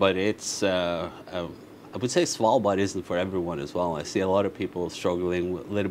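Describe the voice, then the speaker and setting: A man talks at a moderate pace in an ordinary speaking voice, his pitch fairly low and his intonation fairly even. Light background noise runs underneath. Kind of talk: interview answer. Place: bar.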